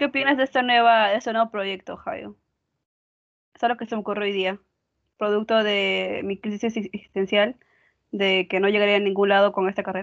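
Talking fairly quickly with long, frequent pauses, a woman of medium pitch keeps her intonation fairly even. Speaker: architecture student. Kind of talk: casual chat.

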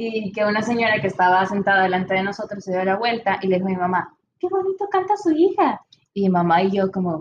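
The somewhat breathy voice moves at a very fast pace with fairly even intonation. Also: woman, medium pitch for a woman. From El Salvador. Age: 20s. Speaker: engineering student and singer. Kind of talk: casual interview.

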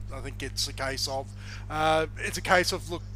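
There is music in the background as a man speaks with an Australian accent. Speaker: podcast co-host. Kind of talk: casual sports podcast chat. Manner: hesitant, repeats words, filler-heavy.

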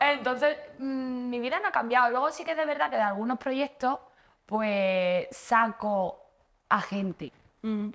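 This woman's intonation is lively. She speaks at a very slow pace. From Andalusia, Spain. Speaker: actress. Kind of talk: casual chat. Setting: stage with audience.

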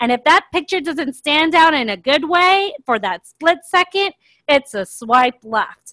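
With an American accent, a woman projects a raised voice at a high pitch, her tone bright and sharp and her pitch swinging very widely. She moves at a fairly slow pace, and the sound is dry and close with no echo. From US, Miami, Florida. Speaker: podcast co-host. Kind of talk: casual chat.

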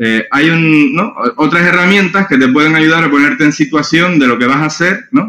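This man has a fairly high, bright, sharp voice with lively intonation and very even loudness. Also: moderate pace. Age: 40s. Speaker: innovation and strategy consultant. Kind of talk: interview.

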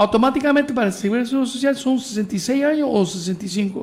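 The man's voice shows ordinary pitch variation. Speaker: radio talk show host. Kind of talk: live call-in interview show.

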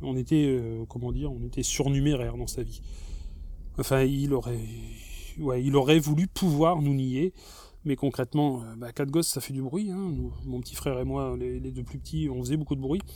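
The recording is very clean with a silent background. A man speaks at a moderate pace. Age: 40s. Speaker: former Jehovah's Witness giving testimony. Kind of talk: personal testimony monologue. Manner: hesitant, many repetitions and fillers.

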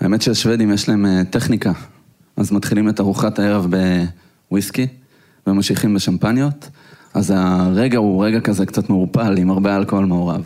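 Speaking at a moderate pace, a man with a fairly low pitch and fairly even intonation leaves long, frequent pauses. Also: very even loudness. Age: 30s. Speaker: tech entrepreneur. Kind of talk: live interview. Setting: stage with audience.

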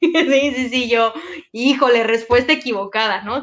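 Her voice is high-pitched for a woman, with ordinary pitch variation. She speaks at a fairly slow pace. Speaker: former coffee chain district manager. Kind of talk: casual chat.

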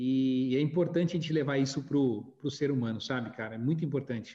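This man's voice is somewhat breathy. He talks at a moderate pace. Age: 40s. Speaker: podcast host, graduation photography businessman. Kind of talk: casual chat.

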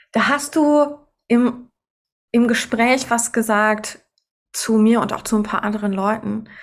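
A woman speaks very slowly at a fairly high pitch, with fairly even intonation and long, frequent pauses. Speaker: podcast host and choral singer. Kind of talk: casual chat.

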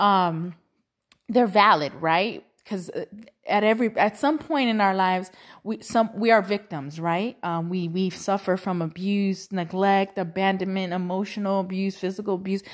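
In a Spanish accent, the speaker talks at a moderate pace in an animated tone with ordinary pitch variation, on a very clean recording with a silent background. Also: woman. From Cuban family in Texas, US. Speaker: podcast host. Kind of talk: casual monologue. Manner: animated, laughs often; halting, many fillers.

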